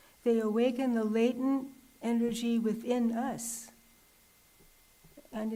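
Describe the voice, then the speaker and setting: A soft-spoken woman talks very slowly over noticeable background noise. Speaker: visiting nun giving a religious talk. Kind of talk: religious talk.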